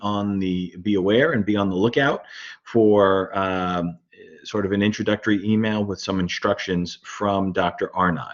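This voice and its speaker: With a Brooklyn accent, a man talks at a moderate pace in a fairly low pitch. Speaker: university lecturer. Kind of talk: lecture. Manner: halting, many fillers.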